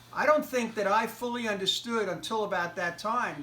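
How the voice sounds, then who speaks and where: A man speaks with an American accent at a moderate pace. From United States. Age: 60s. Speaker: interviewee recalling a historic hockey game. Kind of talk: interview. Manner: halting, many fillers.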